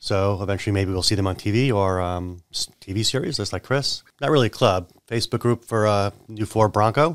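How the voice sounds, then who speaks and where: Fairly quick delivery with hardly any pauses and ordinary pitch variation, in a dry, close sound with no echo on a very clean recording with a silent background. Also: man. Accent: American. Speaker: insurance agent and business owner. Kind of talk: casual chat. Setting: studio.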